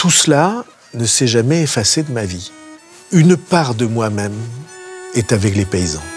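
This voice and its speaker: Man at medium pitch with very wide pitch swings, a fairly slow pace and long, frequent pauses, music in the background. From Béarn, south-west France. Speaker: politician. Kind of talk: interview answer.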